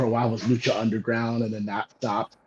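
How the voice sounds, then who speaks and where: A man with an American accent, medium pitch, flat monotone intonation and a fairly quick pace, in a dry, close sound with no echo. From US West Coast. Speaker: professional wrestler. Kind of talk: interview. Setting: on the road. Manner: many fillers, hesitant.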